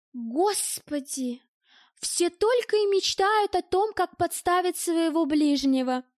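A woman's put-on character voice at an extremely high pitch, with lively intonation and a slow pace, in a dry, close sound with no echo. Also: very clean recording, silent background.

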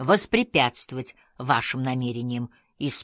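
Over a quiet background, someone is reading aloud in a natural voice with fairly even intonation.

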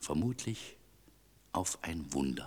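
Using a put-on character voice, a man speaks slowly at an extremely low pitch with a slightly husky edge and big pitch swings.

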